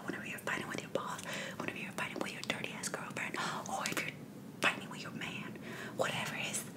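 A woman whispers over noticeable background noise. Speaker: ASMR creator. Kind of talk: casual talk to camera.

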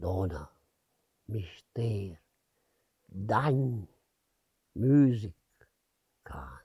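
A man with a Lombard accent, a dark, mellow tone, very wide pitch swings and a very slow pace. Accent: Brianza Lombard dialect. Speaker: dialect poet. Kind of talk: poetry reading. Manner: heartfelt.

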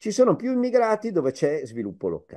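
A man speaks in a dark, mellow tone with very wide pitch swings over a quiet background. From Piedmont, Vercelli; Piedmont. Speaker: professor, migration expert; professor. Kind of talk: public lecture. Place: home room. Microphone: video call.

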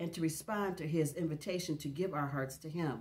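This woman's very deep, low voice is somewhat breathy and has ordinary pitch variation. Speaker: devotional vlogger. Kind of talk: casual devotional chat, partly reading aloud. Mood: warm, calm, reflective. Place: home room.

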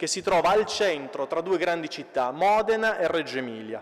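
The background is hushed. A man does the talking. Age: 30s. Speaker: municipal councillor. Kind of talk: conference speech. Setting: stage with audience. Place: church. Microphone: podium.

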